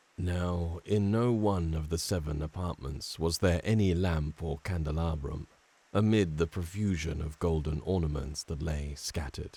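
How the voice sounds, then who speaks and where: A man with a very deep, low pitch and a dark, mellow tone talks at a fairly slow pace, somewhat breathy, with ordinary pitch variation. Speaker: voice actor. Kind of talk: horror audiobook narration.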